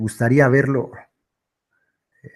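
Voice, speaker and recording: Fairly quick, medium-pitched male speech, a normal speaking voice. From Mexico, Michoacán. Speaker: online commentator reading political texts. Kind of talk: live stream chat. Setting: live stream.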